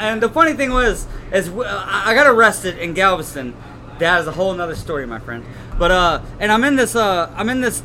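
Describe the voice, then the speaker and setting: Noticeable background noise runs under a man speaking at a fairly quick pace. His intonation is lively. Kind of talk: casual chat.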